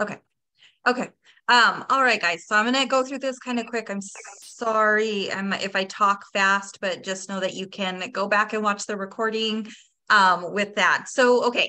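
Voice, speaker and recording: The tone is bright and sharp. Intonation stays fairly even at a moderate pace. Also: woman, fairly high pitch for a woman. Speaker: sales team leader. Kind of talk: training presentation.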